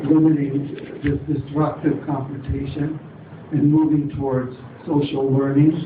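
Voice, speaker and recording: Against noticeable background noise and audible room echo, a man with a fairly high pitch speaks at a moderate pace. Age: 70s. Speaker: audience member. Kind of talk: public forum question.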